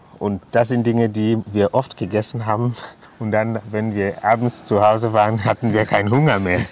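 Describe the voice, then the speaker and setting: Against noticeable background noise, a man talks fairly slowly at a fairly low pitch. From Cameroon, anglophone region (Limbe). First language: English (also French) (speaking German). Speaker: mayor. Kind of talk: casual interview. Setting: outdoors, walking through town.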